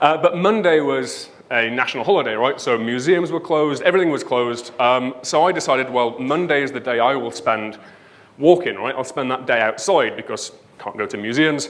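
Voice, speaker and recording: With a northern English accent, a man talks at a fairly quick pace with ordinary pitch variation, and audible room echo surrounds him. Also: medium pitch for a man. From northern England, Leeds. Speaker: conference speaker, web developer. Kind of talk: conference talk. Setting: stage with audience.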